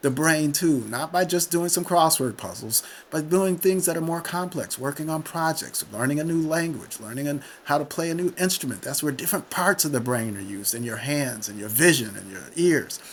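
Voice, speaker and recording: A man with an ordinary speaking voice talks at a fairly quick pace in a fairly high pitch, his intonation lively and his loudness swinging widely. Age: 60s. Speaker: retired physician and author. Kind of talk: podcast interview.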